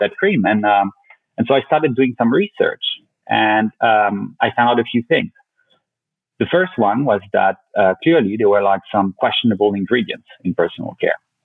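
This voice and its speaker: A man speaks with a French accent at a moderate pace. His loudness stays very even. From France, Paris. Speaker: company founder. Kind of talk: podcast interview. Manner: halting, many fillers.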